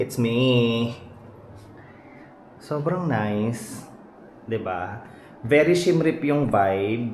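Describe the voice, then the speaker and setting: In a room with audible echo, a man speaks very slowly at a medium pitch with lively intonation and long, frequent pauses. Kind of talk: casual vlog. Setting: hotel room. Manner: deliberately quiet; animated.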